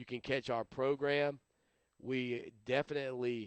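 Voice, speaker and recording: In an American accent, a man talks with monotone, flat intonation. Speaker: sports radio host. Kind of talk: solo sports talk show. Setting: live webcast show. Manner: mumbling at times; casual, hesitant.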